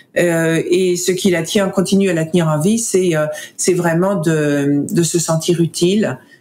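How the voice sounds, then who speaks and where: A woman speaks at a very slow pace. Her voice is fairly low in pitch, with ordinary pitch variation. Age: 60s. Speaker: foundation director, researcher advocate. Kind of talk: casual interview. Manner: halting, hesitant with fillers.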